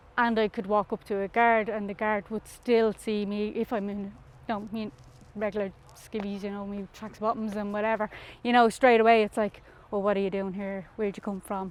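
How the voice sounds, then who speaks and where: A woman with a North Dublin accent, fairly quick in pace, her intonation monotone and flat. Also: medium pitch for a woman. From Ireland, North Dublin (Darndale). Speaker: community researcher and teacher. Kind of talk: testimony. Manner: casual, conversational.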